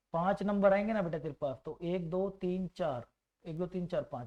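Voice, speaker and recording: At a moderate pace, a man talks with a high pitch, a dark, mellow tone and fairly even intonation. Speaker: maths teacher. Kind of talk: online exam-prep lecture. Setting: faulty microphone.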